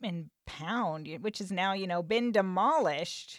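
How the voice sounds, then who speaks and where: Using a plain, everyday voice, a woman talks at a moderate pace, her intonation lively. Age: 40s. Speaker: podcast host. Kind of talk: casual interview chat. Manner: laughs often.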